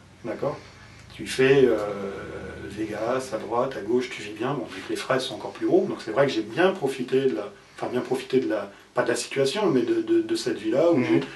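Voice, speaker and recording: A man talks at a fairly quick pace with long, frequent pauses and big swings in loudness, and the room echo is audible. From France. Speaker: former poker player; interviewee. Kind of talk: interview. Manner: halting. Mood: reflective, somewhat rueful.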